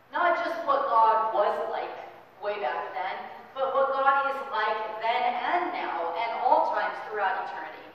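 A woman at a fairly slow pace, with strong room echo and light background noise. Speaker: pastor. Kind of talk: sermon. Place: church. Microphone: camera far.

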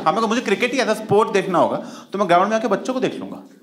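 A man talks at a very fast pace in a high pitch. His intonation is lively.

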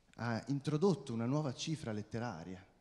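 A man's dark, mellow voice at a moderate pace with ordinary pitch variation. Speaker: writing student, event presenter. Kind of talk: formal introduction. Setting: stage with audience. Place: stage. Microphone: handheld.

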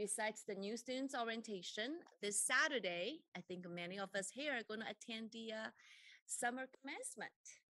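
A woman speaks at a moderate pace in a bright, sharp tone, the sound dry with no echo and the background quiet. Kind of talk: opening remarks at a formal meeting. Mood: warm, upbeat. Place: meeting room. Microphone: podium.

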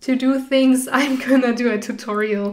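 With fairly even intonation, a woman speaks at a high pitch. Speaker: artist channel creator. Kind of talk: casual vlog chat. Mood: cheerful, slightly nervous, laughing. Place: home room. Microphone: studio mic.

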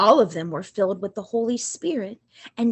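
This woman's voice sits at a medium pitch. It sounds somewhat breathy. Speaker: liturgist. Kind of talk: reading aloud. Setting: church. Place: home room. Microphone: webcam.

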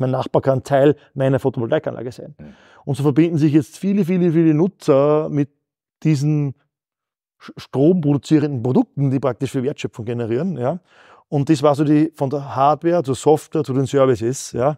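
At a moderate pace, a man speaks in a dark, mellow tone over a quiet background. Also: ordinary pitch variation. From Upper Austria (Mühlviertel); Upper Austria. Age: 40s. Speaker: company founder; guest. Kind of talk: interview. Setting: company office. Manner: halting, frequent repetitions. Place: studio.

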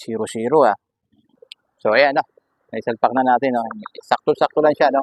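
At medium pitch, a man speaks at a fairly quick pace with long, frequent pauses. The sound is dry and close, with no echo. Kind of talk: tutorial. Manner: casual, frequent filler 'no?'.

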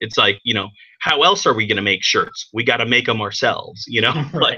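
A man talks with lively intonation and a bright, sharp tone over a quiet background. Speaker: remote guest. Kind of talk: interview answer. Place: home room. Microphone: webcam.

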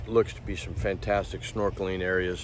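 A man talks in a dry, echo-free recording with a little background noise. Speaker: travel vlogger. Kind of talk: casual vlog chat. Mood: relaxed and cheerful. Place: beach. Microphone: phone near.

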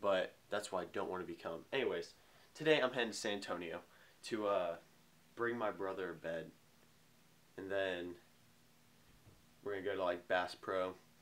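A man's fairly low voice at a moderate pace, with ordinary pitch variation and long, frequent pauses. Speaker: vlogger. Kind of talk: casual vlog chat. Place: home room. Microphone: phone near.

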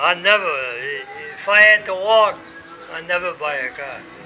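A man talks at a very slow pace in a high pitch, with ordinary pitch variation. Music plays in the background. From Rhode Island, USA. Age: 80s+. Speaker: war veteran. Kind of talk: casual conversation, reminiscing. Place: street. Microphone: phone near.

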